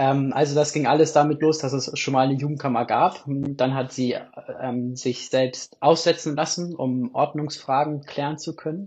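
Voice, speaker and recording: A man speaks in a somewhat breathy voice. His intonation stays monotone and flat. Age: 20s. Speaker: theology student and youth church delegate. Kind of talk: casual interview.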